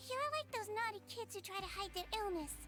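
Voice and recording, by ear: Over faint background music, a woman puts on a cartoonish character voice at an extremely high pitch, with a bright, sharp tone, lively intonation and a fairly quick pace.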